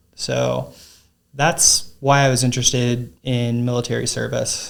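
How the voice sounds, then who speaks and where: A man with an American accent, medium pitch, monotone, flat intonation and a very slow pace. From US South, Cajun south Louisiana. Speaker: doctor and Marine veteran. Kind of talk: podcast interview. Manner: halting, many fillers.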